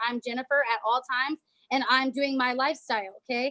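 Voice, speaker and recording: Bright and sharp in tone, a woman with an American accent projects a raised voice at a high pitch, with ordinary pitch variation and a fairly quick pace, in a dry, close sound with no echo. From California. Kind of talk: training presentation. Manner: fast; animated.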